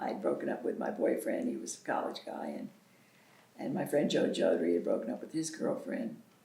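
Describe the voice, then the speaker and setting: A woman with an American accent is heard, and audible room echo hangs around her words. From US South. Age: 70s. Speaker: local pioneer. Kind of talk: oral history interview.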